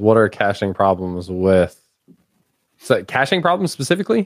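At a moderate pace and very even loudness, a normal speaking voice carries ordinary pitch variation. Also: man. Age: 30s. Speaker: podcast host, technical content creator. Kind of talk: casual chat.

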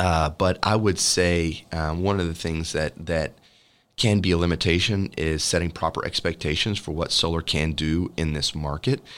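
A man speaks at a moderate pace in a very deep, low pitch with fairly even intonation. The recording is very clean, with a silent background. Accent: Texan. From Texas. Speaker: solar energy company representative. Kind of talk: podcast interview. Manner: many filler words, hesitant.

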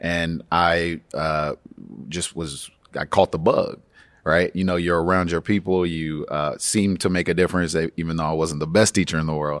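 A man's very deep, low voice with an American accent, moderate pace and monotone, flat intonation, on a very clean recording against a silent background. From Atlanta, Georgia, US. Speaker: education policy staffer. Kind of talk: interview conversation. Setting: recorded at a conference.

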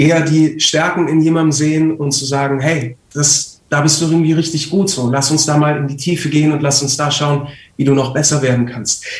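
Talking at a fairly quick clip with hardly any pauses, a man uses a fairly high pitch and monotone, flat intonation. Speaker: voice actor and trained actor. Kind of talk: casual chat. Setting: live stream.

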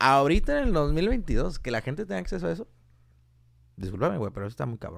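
Very fast speech with very wide pitch swings and vocal fry is broken up by long, frequent pauses. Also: man, fairly high pitch for a man. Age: 20s. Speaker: mechatronics engineer. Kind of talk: casual chat.

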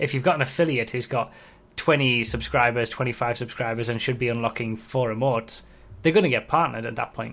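A man speaks at a fairly quick pace with fairly even intonation. He has an ordinary speaking voice at medium pitch. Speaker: YouTuber and podcast host. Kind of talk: casual chat.

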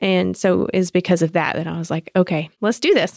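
Recorded dry and close with no echo on a very clean track with a silent background, a woman speaks at a moderate pace with a Southern US accent. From US South, South Georgia. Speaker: graphic designer. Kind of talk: casual chat.

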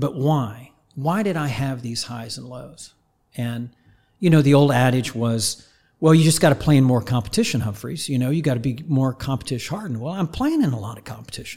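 A dark, mellow, somewhat breathy voice at a fairly quick pace, with ordinary pitch variation, big swings in loudness, and a very clean recording over a silent background. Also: man, medium pitch for a man. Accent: American. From Oklahoma, small town north of Tulsa. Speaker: high performance coach. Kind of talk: casual interview.

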